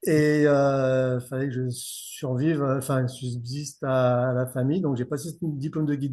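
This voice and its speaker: Against a quiet background, a man speaks with fairly even intonation in a dark, mellow tone. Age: 50s. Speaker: fishing guide. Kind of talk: podcast interview. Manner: casual, many hesitations.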